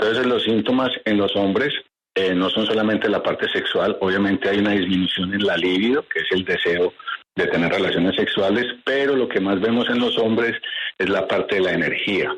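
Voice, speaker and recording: A man talks at a fairly quick pace, his loudness staying very even throughout. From Colombia. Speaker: doctor. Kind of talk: expert interview.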